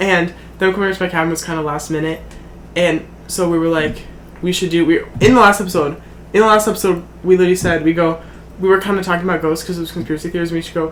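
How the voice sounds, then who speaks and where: Talking at a very fast pace yet with long, frequent pauses, a man with a high pitch keeps a fairly even intonation against noticeable background noise. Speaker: podcast co-host. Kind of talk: casual chat. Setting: at his family cabin.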